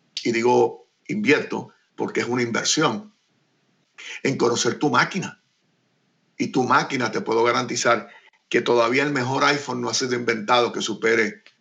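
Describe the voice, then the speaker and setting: Here a man talks at a medium pitch with ordinary pitch variation. He leaves long, frequent pauses. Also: moderate pace. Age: 60s. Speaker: radio and TV producer and host. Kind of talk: interview.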